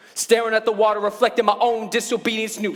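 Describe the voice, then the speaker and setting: Background noise is noticeable as a man speaks. His pitch is high, and his pace is very fast. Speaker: spoken word poet. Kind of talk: live spoken word poetry performance.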